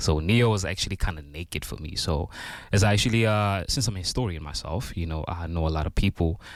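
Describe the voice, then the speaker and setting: A man talks at a very fast pace in a very deep, low pitch with ordinary pitch variation. The recording is very clean, with a silent background. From South Africa, Port Elizabeth. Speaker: rapper. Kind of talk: interview.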